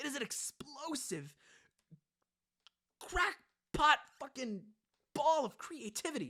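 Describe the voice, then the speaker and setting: A man speaks at a fairly slow pace in a raised, projected voice, his pitch extremely high, his tone bright and sharp, and his intonation lively. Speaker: movie reviewer. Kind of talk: casual chat. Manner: animated.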